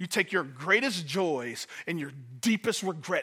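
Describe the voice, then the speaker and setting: In an American accent, a man speaks in a raised, projected voice with a bright, sharp tone. His pitch is high and his intonation lively. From Detroit, US. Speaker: pastor. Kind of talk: sermon. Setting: church.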